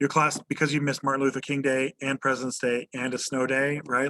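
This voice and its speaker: Bright and sharp in tone, the voice rushes at a very fast pace with monotone, flat intonation, in a dry, close sound with no echo. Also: man. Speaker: high school history teacher. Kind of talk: lecture. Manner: casual with many fillers.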